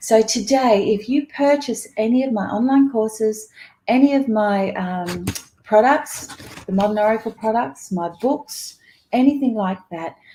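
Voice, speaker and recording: A woman with an Australian accent, fairly high-pitched and somewhat breathy, her tone dark and mellow, at a fairly slow pace with ordinary pitch variation. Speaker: psychic reader. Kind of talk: livestream talk. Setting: live video stream.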